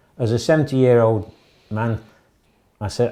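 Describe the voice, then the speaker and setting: A man with a northern English accent speaks at medium pitch and a moderate pace. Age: 60s. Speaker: arrested member of the public. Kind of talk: interview testimony.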